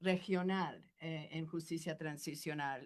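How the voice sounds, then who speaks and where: A woman with a slight non-native accent speaks at a fairly slow pace. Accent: slightly non-native Spanish. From Argentina, left young for the US. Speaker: law professor. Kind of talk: academic talk. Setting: university panel with audience. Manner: halting, many fillers.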